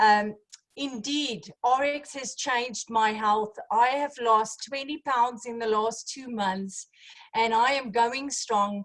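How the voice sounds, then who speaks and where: A woman speaks at a very slow pace in a high voice with ordinary pitch variation. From South Africa. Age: 40s. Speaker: network marketing distributor. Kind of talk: business opportunity presentation.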